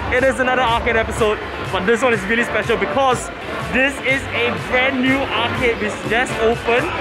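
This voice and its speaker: Speech at a moderate pace plays over clear music in the background. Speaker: vlogger. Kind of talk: casual vlog chat. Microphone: phone near.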